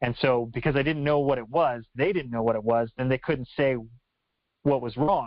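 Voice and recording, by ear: A man talks at a moderate pace with ordinary pitch variation. The sound is dry and close, with no echo. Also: medium pitch for a man.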